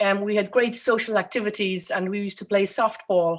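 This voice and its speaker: A woman with an Irish accent on a very clean recording with a silent background. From Ireland. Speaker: architect. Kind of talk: interview. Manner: hesitant, many fillers.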